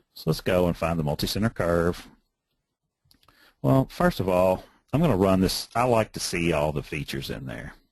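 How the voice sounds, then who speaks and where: At a moderate pace, a man with a very deep, low pitch uses lively intonation, long and frequent pauses, and big swings in loudness. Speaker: road design software instructor. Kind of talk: webinar tutorial. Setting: webinar screen share.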